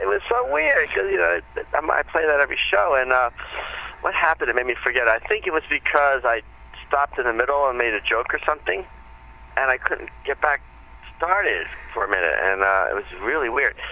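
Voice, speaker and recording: Man at a fairly high pitch with lively intonation, very even loudness and long, frequent pauses, over noticeable background noise. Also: fairly quick pace. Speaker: comedian. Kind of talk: interview. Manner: fast.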